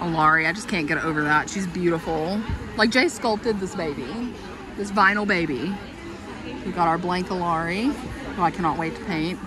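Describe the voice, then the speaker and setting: A woman's fairly low voice, dry with no echo, against crowd noise in the background. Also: ordinary pitch variation, moderate pace. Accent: Kentucky. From Kentucky. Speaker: doll collector vlogger. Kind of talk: casual vlog. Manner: animated. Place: hall. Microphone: phone near.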